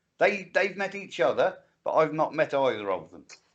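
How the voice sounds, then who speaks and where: A man with an English accent at a moderate pace. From England. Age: 60s. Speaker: livestream co-host. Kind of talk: casual chat. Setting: livestream.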